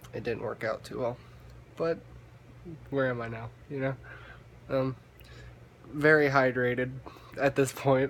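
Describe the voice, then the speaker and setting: Over noticeable background noise, a man of medium pitch speaks at a moderate pace in a monotone, flat manner, with long, frequent pauses. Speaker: vlogger. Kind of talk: casual monologue vlog. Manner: halting, stumbles on words; filler-heavy, hesitant.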